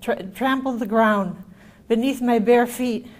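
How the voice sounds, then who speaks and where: With fairly even intonation and a moderate pace, a woman's voice carries audible room echo. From Yugoslavia, ethnic German minority. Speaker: author and camp survivor. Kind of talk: reading aloud; lecture. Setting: stage with audience.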